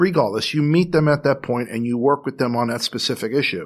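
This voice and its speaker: A man with an American accent talks at a fairly quick pace in a normal speaking voice, medium in pitch with ordinary variation. The recording is very clean, with a silent background. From New York. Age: 60s. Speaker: clinical social worker. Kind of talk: interview.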